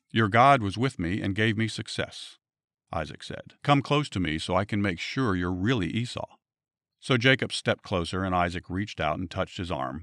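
On a very clean recording with a silent background and a dry, close sound with no echo, a man speaks at a moderate pace in an unremarkable speaking voice, fairly low in pitch with lively intonation. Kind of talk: bible storytelling. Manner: earnest, steady storyteller reading the narrative plainly.

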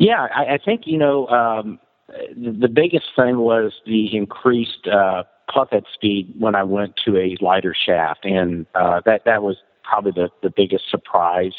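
A fairly low man's voice at a fairly slow pace, with ordinary pitch variation. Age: 50s. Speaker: amateur golfer. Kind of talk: casual interview. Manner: halting.

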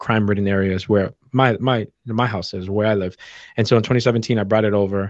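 Here is a man with an American accent and an ordinary speaking voice. His pitch is fairly low and his intonation fairly even. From Boston, US. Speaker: entrepreneur and run club founder. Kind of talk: casual interview.

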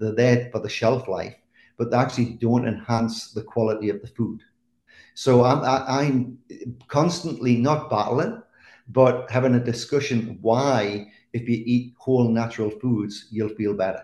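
The man's somewhat breathy voice sits at a medium pitch, moving at a moderate pace with fairly even intonation over a quiet background. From England. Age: 50s. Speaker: chef. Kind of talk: casual chat.

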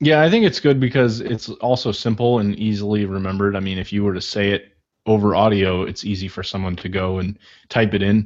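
A plain, everyday voice from a man, fairly low in pitch with ordinary pitch variation, at a fairly quick pace against a quiet background. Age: 20s. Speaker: podcast host. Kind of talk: interview conversation.

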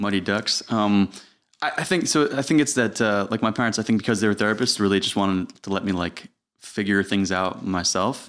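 Against a quiet background, a man with an American accent speaks at a fairly quick pace in a normal speaking voice, fairly low in pitch, with ordinary pitch variation. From New York, Putnam County. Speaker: filmmaker and entrepreneur. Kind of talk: casual chat.

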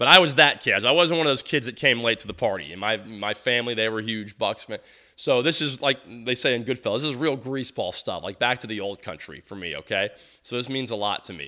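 A very fast, animated voice with an American accent, lively intonation and a bright, sharp tone over a quiet background. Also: man, medium pitch for a man, big swings in loudness. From Tampa, Florida. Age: 40s. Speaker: sports podcast host. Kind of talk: solo sports podcast monologue.

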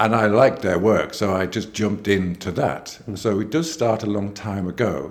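A man's plain, everyday voice, fairly low in pitch, at a moderate pace with hardly any pauses and ordinary pitch variation. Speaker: painter. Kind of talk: interview.

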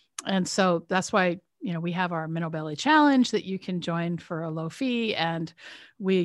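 A woman with a fairly low pitch talks at a moderate pace. The recording is very clean, the background silent. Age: 50s. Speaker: retired surgeon and menopause expert. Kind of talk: interview. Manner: repetitive restarts.

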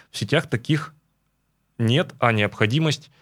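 A man talks at a moderate pace with a medium pitch and ordinary pitch variation in an ordinary speaking voice. The recording is very clean, with a silent background. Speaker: radio host. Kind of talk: morning radio talk show. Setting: studio.

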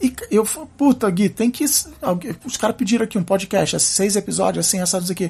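The speech has lively intonation and hardly any pauses. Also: man, high pitch for a man, moderate pace. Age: 40s. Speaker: podcaster. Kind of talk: casual chat. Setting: coworking office. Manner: halting.

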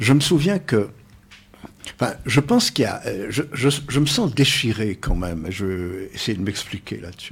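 The voice is somewhat breathy, swinging very widely in pitch at a moderate pace with long, frequent pauses. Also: man, medium pitch for a man. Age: old. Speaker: psychosociologist. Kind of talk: radio panel discussion. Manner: formal.

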